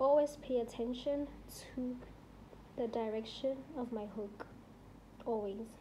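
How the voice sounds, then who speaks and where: A woman's high voice at a fairly slow pace, with long, frequent pauses, audible room echo and noticeable background noise. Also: fairly even intonation. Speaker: crochet tutorial creator. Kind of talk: tutorial. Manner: casual, filler-heavy; slow, deliberate demonstration.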